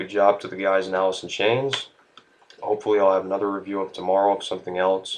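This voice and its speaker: This man talks at a fairly quick pace in a fairly low pitch. His intonation stays monotone and flat. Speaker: music reviewer. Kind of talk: video review.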